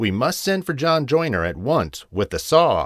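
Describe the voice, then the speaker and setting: A man speaks at a moderate pace in a put-on character voice with a fairly high pitch. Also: very clean recording, silent background. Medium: read story. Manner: brisk, plainspoken.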